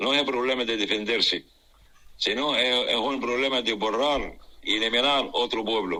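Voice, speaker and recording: Speaking at a moderate pace, a man uses a medium-pitched voice with a bright, sharp tone. His loudness stays very even and his intonation fairly even. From Gaza Strip. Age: 60s. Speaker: civil engineer and humanitarian worker. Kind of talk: interview. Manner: halting.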